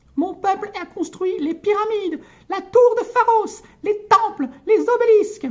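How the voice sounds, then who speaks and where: A man performs a put-on character voice at an extremely high pitch. He keeps a moderate pace. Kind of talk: comic book read-aloud with character voices.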